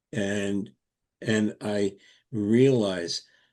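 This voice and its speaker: The voice has a dark, mellow tone and speaks with an American accent. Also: man. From US, Brooklyn, New York. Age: 80s+. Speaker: Montessori educator. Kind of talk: interview. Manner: halting.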